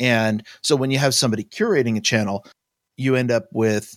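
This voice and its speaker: The recording is very clean and dry, close with no echo, over a silent background. A man with a plain, everyday voice talks at medium pitch and a fairly quick pace with ordinary pitch variation. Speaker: podcast co-host. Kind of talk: casual chat.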